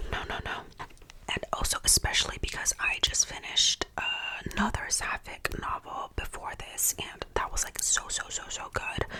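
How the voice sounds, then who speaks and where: Someone is whispering, with noticeable background noise behind them. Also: moderate pace. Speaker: ASMR creator and book reviewer. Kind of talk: whispered casual chit-chat to camera about books. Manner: whispered, ASMR-style.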